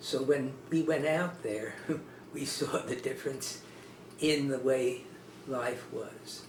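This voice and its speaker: A man with an American accent, fairly high-pitched, at a very slow pace with long, frequent pauses. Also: fairly even intonation. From Newark, New Jersey. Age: 80s+. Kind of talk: oral history interview answer.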